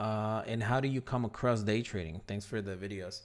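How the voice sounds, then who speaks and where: A man with a non-native accent speaks at a moderate pace, his intonation lively. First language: not English. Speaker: day trading educator, livestream host. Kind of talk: live stream Q&A. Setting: live stream. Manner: casual, filler-heavy.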